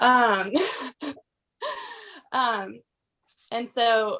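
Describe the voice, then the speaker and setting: A woman with a Southern US accent sounds shaky and nervous, her tone bright and sharp. Her pitch varies in an ordinary way. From US South, Georgia. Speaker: direct sales consultant. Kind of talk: testimony. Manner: shaky, nervous.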